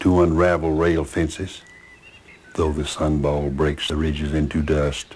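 A man's very deep, low voice with a Southern US accent, fairly slow and monotone, with flat intonation. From US South, Alabama (Chambers County); Alabama. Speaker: author; interviewee. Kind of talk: interview; poetry reading.

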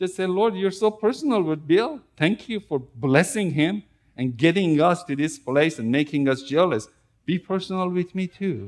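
A man talks fairly slowly against a quiet background. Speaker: preacher. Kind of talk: sermon. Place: church.

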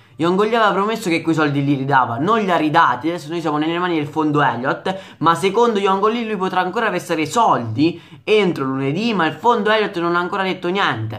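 A man rattles off his words at a very fast pace against a quiet background. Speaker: football vlogger and Milan fan. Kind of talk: angry rant about club owner, direct address to viewers. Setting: home video recording for online channel. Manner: agitated, indignant, repetitive and emphatic; loud, exasperated, hammering the same phrases. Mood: angry, agitated. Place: home room. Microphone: phone near.

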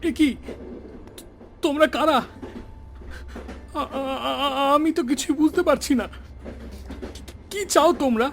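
A shaky, put-on character voice moves at a moderate pace against clear background noise. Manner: trembling, frightened.

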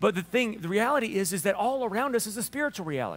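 This man has a high pitch and a Southern US accent. His intonation is lively. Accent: Southern US drawl. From Alabama. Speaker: pastor preaching a sermon. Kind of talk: casual, folksy sermon. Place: church.

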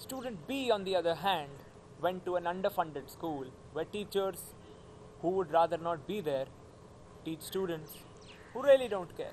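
A man with a high pitch at a moderate pace, with light background noise. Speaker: actor performing a monologue. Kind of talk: acted monologue, college admission speech. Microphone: phone near.

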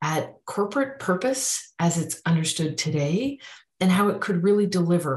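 A woman with a fairly low pitch speaks at a moderate pace, sounding somewhat breathy. The background is quiet, with audible room echo. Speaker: speaker. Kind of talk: self-introduction talk to camera. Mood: warm, enthusiastic. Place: home room. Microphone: webcam.

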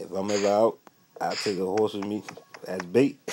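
Noticeable background noise sits under an upbeat tone delivered at a fairly quick pace. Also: man. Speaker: gaming YouTuber. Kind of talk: casual gameplay commentary. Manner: casual, upbeat.

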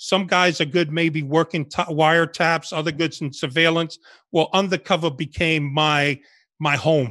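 Against a quiet background, a man with a New York accent speaks at a fairly slow pace. His fairly high voice has a bright, sharp tone and fairly even intonation. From New York City, Bronx and Washington Heights, born in Cuba; New York City. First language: Spanish. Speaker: retired undercover FBI agent; guest. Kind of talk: interview storytelling. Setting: video call. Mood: relaxed storytelling. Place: home room. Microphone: video call.

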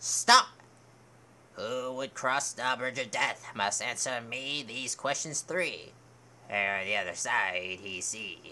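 A man's put-on character voice, medium in pitch and fairly slow, with ordinary pitch variation and clear background noise. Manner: stern, commanding questioner.

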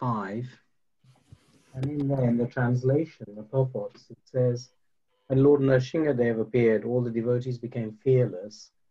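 A man's somewhat breathy voice with a dark, mellow tone and fairly even intonation. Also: moderate pace, big swings in loudness. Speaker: participant in online class; religious teacher. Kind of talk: class discussion. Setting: video call. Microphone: video call.

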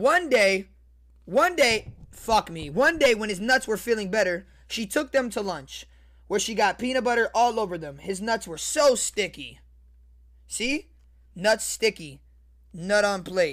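Animated in tone, a man talks at a high pitch with lively intonation and long, frequent pauses. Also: fairly slow pace, quiet background. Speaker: online video creator reading a story. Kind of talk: comedic mock bedtime story read aloud with crude running commentary to viewers. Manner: animated, excitable, repetitive ('see, guys?'), cracking up and riffing mid-reading; crude, joking, addressing the chat. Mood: joking, amused. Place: home room. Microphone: studio mic.

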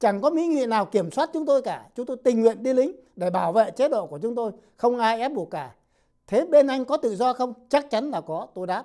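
Over a quiet background, a man with an extremely high pitch and a dark, mellow tone talks at a fairly quick pace with lively intonation. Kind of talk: scripted narration. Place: studio. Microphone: lapel.

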